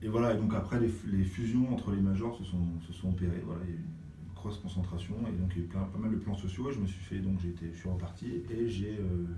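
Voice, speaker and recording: A man with a very deep, low voice talks very fast with fairly even intonation, amid noticeable background noise and audible room echo. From Brittany, France (Brest). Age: 40s. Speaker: music industry programmer and artist manager. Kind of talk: interview. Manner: hesitant, many fillers.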